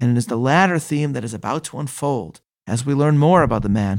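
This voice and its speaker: In a normal speaking voice, the speaker talks at a fairly quick pace with ordinary pitch variation on a very clean recording with a silent background. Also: man. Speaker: Torah teacher and podcast host. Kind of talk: scripted educational talk on Bible study, with passages read aloud; literary audiobook reading of Genesis verses and a quoted commentary passage. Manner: measured, formal, earnest.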